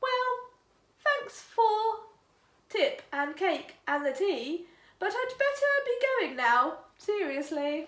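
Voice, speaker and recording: Using a put-on character voice, a woman speaks very slowly in a squeaky, extremely high pitch with very wide pitch swings. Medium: read story. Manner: chirpy, polite.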